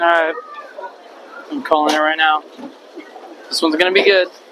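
There is noticeable background noise. The sound itself is dry with no echo. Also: man. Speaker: vlogger filming friends. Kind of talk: casual vlog chat. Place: hall. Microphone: handheld.

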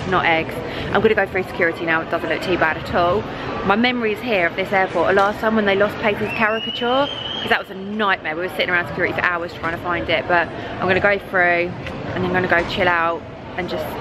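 A woman talks very fast against noticeable background noise. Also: ordinary pitch variation. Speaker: travel vlogger. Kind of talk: casual vlog chat. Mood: cheerful, slightly anxious. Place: station. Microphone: phone near.

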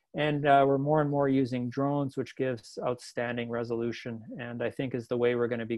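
Monotone, flat intonation in a Canadian accent. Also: man. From Canadian Prairies (Manitoba). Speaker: wind engineering researcher. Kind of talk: lecture. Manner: halting, many fillers.

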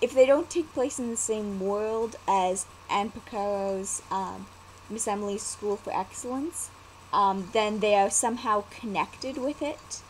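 A woman talks at a fairly slow pace with ordinary pitch variation over light background noise. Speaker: vlogger and storyteller. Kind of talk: casual talk to camera. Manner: hesitant, many fillers. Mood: cheerful, relaxed. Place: home room. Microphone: webcam.

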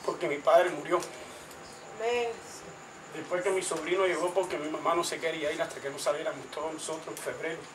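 A man talks at a fairly quick pace in a high pitch, with noticeable background noise behind him. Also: fairly even intonation. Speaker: speaker. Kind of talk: testimony in a religious gathering. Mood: fervent, thankful. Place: home room. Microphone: camera far.

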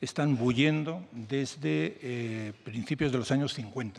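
A man talks at a very slow pace. His intonation is lively. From Spain. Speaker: journalist and book author; journalist. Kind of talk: interview at a book presentation. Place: meeting room. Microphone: podium.

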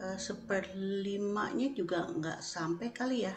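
A woman's voice over noticeable background noise. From Indonesia, then Netherlands from age 10. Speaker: Indonesian diaspora member, caterer; guest. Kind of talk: interview. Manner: halting. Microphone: video call.

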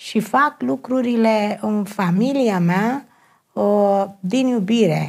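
At a very slow pace, a woman talks at medium pitch with lively intonation. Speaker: personal development counselor. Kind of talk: TV talk show interview. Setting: TV studio.

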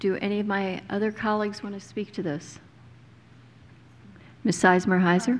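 A woman talks at a moderate pace. Her pitch is medium, with little movement.

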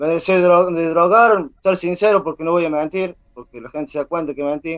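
Against a quiet background, a man with a high pitch talks at a fairly slow pace, his loudness swinging widely while his pitch varies in an ordinary way. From Argentina, San Luis province. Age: 20s. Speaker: aspiring reality show contestant, father. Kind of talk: interview, personal testimony. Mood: earnest, confessional.

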